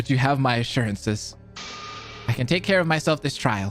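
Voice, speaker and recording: Over clear background music, a man at medium pitch does a put-on character voice at a fairly quick pace. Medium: video game. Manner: formal, courteous.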